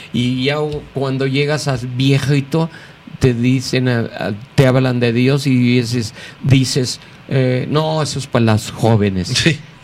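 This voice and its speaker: A man speaks very slowly with fairly even intonation and long, frequent pauses. Noticeable background noise runs underneath. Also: medium pitch for a man. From Mexico City. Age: 60s. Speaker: pastor. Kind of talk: interview. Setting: studio.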